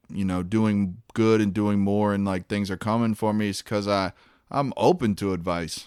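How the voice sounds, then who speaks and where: A man with an American accent and an unremarkable speaking voice talks at a moderate pace with a fairly low pitch and fairly even intonation, in a very clean recording with a silent background. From Virginia, US South. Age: 30s. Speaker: stand-up comedian. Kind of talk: casual interview chat. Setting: studio.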